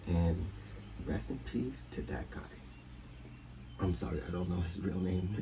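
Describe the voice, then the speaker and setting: In audible room echo, a man with a very deep, low pitch speaks with lively intonation. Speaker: YouTube TV reviewer. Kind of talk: casual review monologue. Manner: halting, repeats words.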